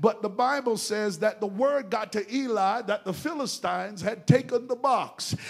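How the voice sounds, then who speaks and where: A man's animated speech in an American accent, with lively intonation at a moderate pace. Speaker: preacher. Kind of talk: sermon, call-and-response with the congregation. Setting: church with congregation. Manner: animated, exhorting, rousing, with crowd-engaging prompts.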